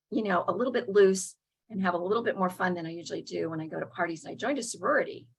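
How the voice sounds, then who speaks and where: A woman with an American accent, very fast delivery, medium pitch, a somewhat breathy quality and ordinary pitch variation. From US South. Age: 70s. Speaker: recovery meeting speaker. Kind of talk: testimony. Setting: video call. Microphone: unstable internet connection.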